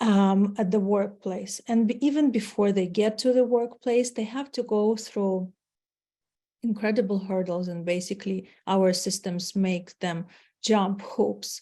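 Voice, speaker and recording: In a Ukrainian accent, a woman speaks at a medium pitch and a fairly slow pace, her tone dark, mellow and somewhat breathy, with fairly even intonation. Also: quiet background. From Ukraine. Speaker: marketing executive. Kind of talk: webinar presentation. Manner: hesitant, with fillers.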